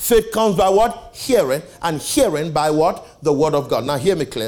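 Over music in the background, a man with a high pitch talks at a moderate pace in an animated tone with lively intonation. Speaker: preacher. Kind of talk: sermon. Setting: church with live audience. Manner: animated, call-and-response preaching; emphatic, repeats key phrases.

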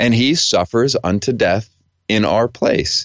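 At a fairly slow pace, a man talks in a plain, everyday voice, medium in pitch with ordinary pitch variation. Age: 40s. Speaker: theology professor and author. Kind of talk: interview.

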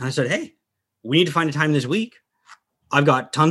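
Using a normal speaking voice, a man talks with ordinary pitch variation. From Dubai, then US. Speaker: hunter. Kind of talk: casual chat.

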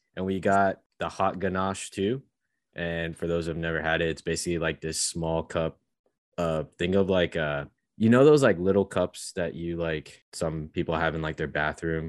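This man speaks in a very deep, low pitch with fairly even intonation. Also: moderate pace. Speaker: podcast co-host. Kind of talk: casual chat.

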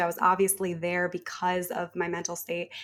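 Captured in a very clean recording with a silent background, a woman talks at a moderate pace and medium pitch. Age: 20s. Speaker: podcaster. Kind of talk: casual chat.

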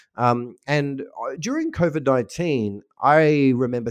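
A man with an Australian accent and lively intonation, in a dry, close sound with no echo. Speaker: marketing technology consultant and newsletter editor. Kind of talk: casual interview. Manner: many fillers and restarts.

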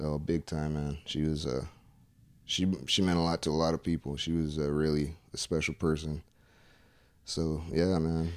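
A man's very deep, low voice in a relaxed tone, monotone and flat, at a moderate pace with long, frequent pauses, on a very clean recording with a silent background. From Tucson, Arizona (Pascua Yaqui). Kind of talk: casual chat. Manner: relaxed, casual.

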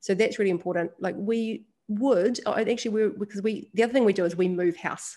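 A woman with a New Zealand accent at a fairly quick pace and fairly even intonation, over a quiet background. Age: 30s. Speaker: women's leadership event founder and podcast host. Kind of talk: interview conversation.

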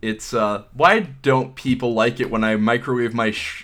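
A man speaks at a fairly slow pace in a medium pitch, with a normal speaking voice. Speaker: podcast host. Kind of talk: casual chat.

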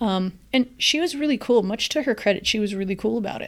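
A woman with an ordinary speaking voice talks at a fairly quick pace, her pitch fairly high and its variation ordinary. The recording is very clean, with a silent background. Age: 40s. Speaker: podcast host. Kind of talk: solo podcast monologue.

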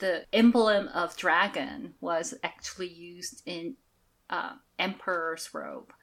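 A woman at medium pitch, very slow, with lively intonation and big swings in loudness. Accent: slight Korean. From South Korea. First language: Korean. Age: 40s. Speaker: shaman and oracle deck creator. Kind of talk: interview.

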